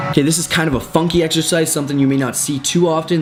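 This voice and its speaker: A man's voice over noticeable background noise. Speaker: fitness coach. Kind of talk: tutorial.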